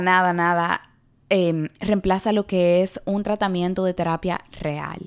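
A woman's very slow speech with fairly even intonation, on a very clean recording with a silent background. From Dominican Republic. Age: 20s. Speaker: podcast host and TikTok creator. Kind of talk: solo podcast monologue.

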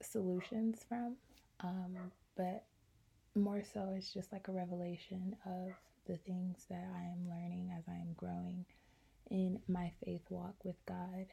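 A woman speaks very slowly at a medium pitch, her dark, mellow tone somewhat breathy and broken by long, frequent pauses. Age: 20s. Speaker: podcast host. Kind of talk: solo podcast monologue.

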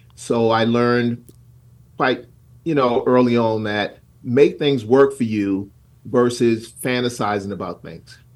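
In an American accent, a man with a normal speaking voice and medium pitch talks at a fairly slow pace, his intonation fairly even but his loudness swinging widely. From South Carolina. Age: 60s. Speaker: pastor and community leader. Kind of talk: radio interview.

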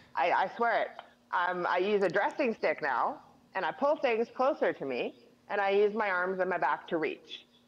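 A woman speaks at a medium pitch with a Western Canadian accent. Her pace is moderate and her pitch swings very widely. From Northern British Columbia, Canada. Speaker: quadriplegic wheelchair user, former oil field worker. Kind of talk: casual interview.

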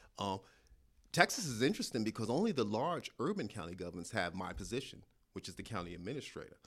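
A man in a New York accent speaks very fast with lively intonation. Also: medium pitch for a man. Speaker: county administrator. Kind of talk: interview.

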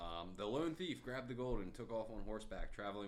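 Speaking at a very fast pace, a man with a fairly low pitch is heard amid audible room echo. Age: 20s. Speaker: podcast co-host. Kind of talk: casual chat; storytelling.

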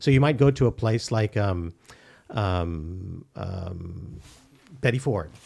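A man speaks very slowly with long, frequent pauses. His pitch is fairly low and his intonation lively. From Philippines (Manila). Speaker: psychiatrist and addiction specialist. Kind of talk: casual interview. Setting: studio. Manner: halting, many fillers and repeats.

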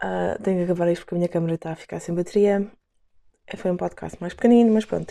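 On a very clean recording with a silent background, a woman with a European Portuguese accent has a dark, mellow tone and ordinary pitch variation. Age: 20s. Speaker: podcast host, dancer. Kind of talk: reading aloud; casual chat. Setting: at home.

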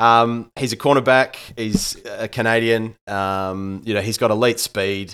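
A man with an Australian accent speaks fairly slowly with fairly even intonation and hardly any pauses. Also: medium pitch for a man. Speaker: sports podcast co-host, English teacher. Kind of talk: casual sports analysis chat.

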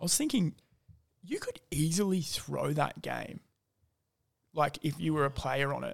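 With an Australian accent, a man speaks at a moderate pace, leaving long, frequent pauses. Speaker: podcast host. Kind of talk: casual chat.

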